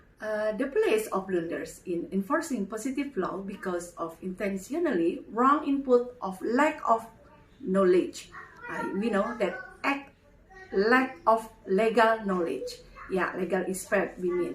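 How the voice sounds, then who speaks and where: A woman talks at a fairly slow pace in a fairly high pitch, her pitch swinging very widely, with noticeable background noise behind her. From Indonesia. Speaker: legal team spokesperson. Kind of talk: reading aloud with commentary. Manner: halting.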